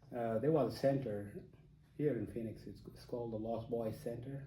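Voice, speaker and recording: A man with a South Sudanese accent speaks in a dark, mellow, somewhat breathy tone with fairly even intonation, and audible room echo surrounds his voice. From South Sudan, Dinka. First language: Dinka. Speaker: interviewee. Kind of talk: interview. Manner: halting, many fillers.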